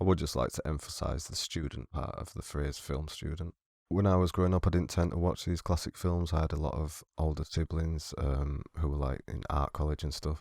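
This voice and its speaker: With a British accent, a man speaks in a very deep, low pitch with vocal fry, fairly even intonation, a fairly quick pace and hardly any pauses, on a very clean recording with a silent background. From Britain. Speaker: film student. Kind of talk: movie reaction commentary. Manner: subdued, monotone.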